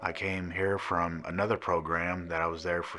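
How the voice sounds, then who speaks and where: A man with an American accent speaks at a moderate pace. His voice is very deep and low-pitched. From Missouri. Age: 40s. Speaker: rehab program resident. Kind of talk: testimony. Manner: halting, many fillers.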